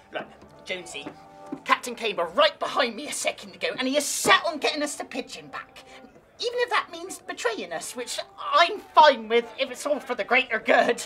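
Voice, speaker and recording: Clear music plays in the background as a put-on character voice speaks at a moderate pace. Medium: comedy sketch. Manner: stammering, eager.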